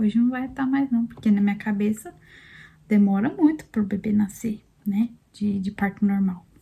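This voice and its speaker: Soft-spoken and somewhat breathy, a woman with a dark, mellow tone talks at a moderate pace in a fairly high voice with ordinary pitch variation. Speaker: vlogger, mother sharing birth story. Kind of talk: personal testimony, casual vlog. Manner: soft-spoken, talking quietly.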